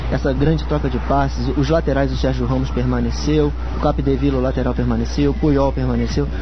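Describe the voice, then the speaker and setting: Over noticeable background noise, a man speaks in a very deep, low voice with very even loudness, hardly any pauses and monotone, flat intonation. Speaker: football analyst, match data researcher. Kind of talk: radio interview answer, analytical.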